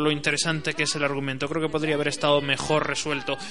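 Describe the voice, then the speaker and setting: A man is talking. There is noticeable noise behind him. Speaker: radio host. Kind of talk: radio show monologue. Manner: hesitant, with frequent fillers.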